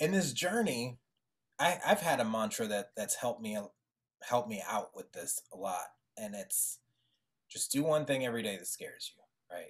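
A man talks at a moderate pace, leaving long, frequent pauses. His loudness swings widely against a quiet background. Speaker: podcast host. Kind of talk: casual interview. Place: studio. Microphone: studio mic.

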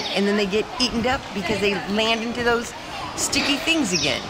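Through loud background noise, a woman can be heard speaking at a moderate pace. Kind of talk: casual travel vlog interview answer. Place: street. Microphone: phone near.

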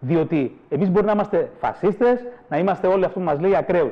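An animated man's high voice with lively intonation. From northern Greece. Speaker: president of a cultural associations federation; guest. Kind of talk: heated debate; interview answer, political argument. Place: studio. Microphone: lapel.

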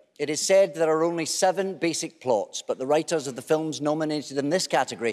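The background is silent apart from the voice. The speaker is a man. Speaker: awards show host. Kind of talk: comic host patter introducing presenters. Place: stage. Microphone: podium.

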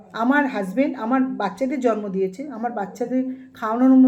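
Noticeable background noise and audible room echo surround a woman's high-pitched voice. Her pitch variation is ordinary. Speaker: YouTube vlogger. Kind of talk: angry rant. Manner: animated.

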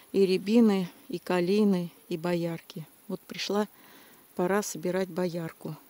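At a fairly slow pace, a woman speaks in a monotone, flat intonation with a dark, mellow tone and a dry sound with no echo. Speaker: nature vlogger picking berries. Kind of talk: casual vlog chat. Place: forest. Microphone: phone near.

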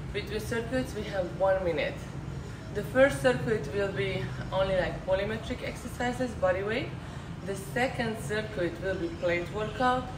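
A woman at a moderate pace against noticeable background noise. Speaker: fitness instructor. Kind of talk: workout instructions. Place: gym. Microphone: camera far.

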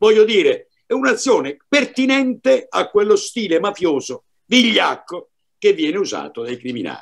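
The talking moves at a moderate pace. The background is quiet. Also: man. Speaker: commentator, former law enforcement; panelist. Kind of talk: panel discussion. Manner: formal. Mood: earnest, indignant. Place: home room. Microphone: video call.

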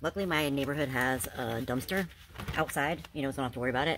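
Noticeable background noise accompanies a woman talking very fast, her pitch varying in an ordinary way. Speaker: storage unit reseller vlogger. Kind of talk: casual vlog chat. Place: garage. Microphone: phone near.

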